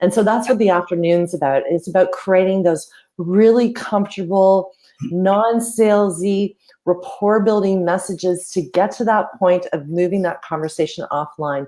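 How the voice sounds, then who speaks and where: Spoken with a Canadian accent, the voice has a dark, mellow tone. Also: woman. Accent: Canadian, often taken for American. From Canada. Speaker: social media marketing coach. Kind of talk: casual interview chat.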